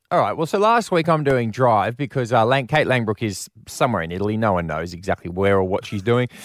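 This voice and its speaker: A man speaks with an Australian accent, hardly pausing at all. The recording is very clean, with a silent background. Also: medium pitch for a man, lively intonation, fairly quick pace. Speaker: radio host. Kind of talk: casual chat.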